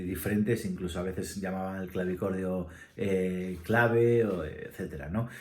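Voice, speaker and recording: Over audible room echo, a man talks at a moderate pace with fairly even intonation. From Spain, Asturias. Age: 40s. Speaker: musician and ensemble director. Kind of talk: casual interview answers, self-read questions. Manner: halting, many fillers.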